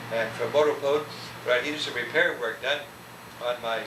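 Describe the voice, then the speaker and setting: Speaking at a fairly quick pace with an American accent, a man comes through noticeable background noise and audible room echo. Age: 70s. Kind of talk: oral history interview. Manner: halting.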